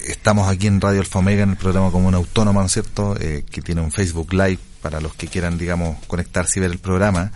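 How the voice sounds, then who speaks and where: At a very fast pace with hardly any pauses, a man speaks in a very deep, low pitch with flat, monotone intonation. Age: 40s. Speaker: radio host. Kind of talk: radio interview.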